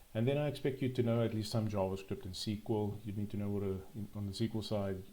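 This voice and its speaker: Here is a man with a dark, mellow tone. His voice comes across somewhat breathy. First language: not English. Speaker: programming tutorial youtuber. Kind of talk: tutorial. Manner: halting, frequent ums and repetitions.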